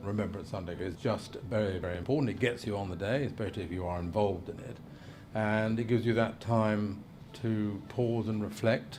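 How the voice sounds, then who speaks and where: A man with an East Midlands accent at a fairly quick pace, fairly low in pitch with ordinary pitch variation, plus noticeable background noise and audible room echo. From Lincolnshire, England. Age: 60s. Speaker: representative of the Queen (deputy lieutenant). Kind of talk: documentary interview. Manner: hesitant, filler-heavy.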